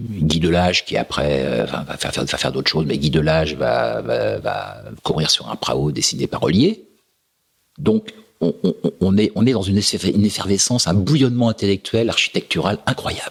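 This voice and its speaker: A man talks at a moderate pace in a very deep, low pitch. His voice carries vocal fry and very wide swings in pitch. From France. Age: 60s. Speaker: sailing race router. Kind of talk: podcast interview answer. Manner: direct.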